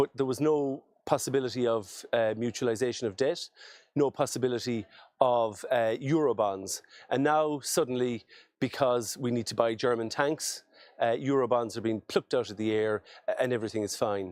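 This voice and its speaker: On a very clean recording with a silent background, a man with an Irish accent speaks at a moderate pace, his medium pitch showing ordinary variation. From Ireland. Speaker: politician. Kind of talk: video message speech. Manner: halting.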